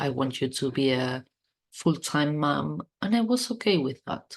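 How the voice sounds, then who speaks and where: A woman speaks with a non-native accent at a very deep, low pitch. The background is quiet. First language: not English. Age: 40s. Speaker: podcast host. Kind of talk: personal podcast monologue. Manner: stuttering.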